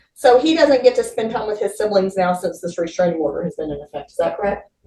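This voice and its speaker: Speaking very fast and loud, a woman sits at a medium pitch. Her pitch swings very widely. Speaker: defense attorney. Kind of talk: courtroom examination.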